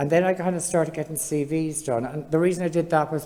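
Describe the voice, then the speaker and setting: A woman talks at a fairly quick clip in a very deep, low voice with an Irish accent and fairly even intonation. Noticeable noise sits in the background. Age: 60s. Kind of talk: panel discussion testimony. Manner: conversational, with fillers.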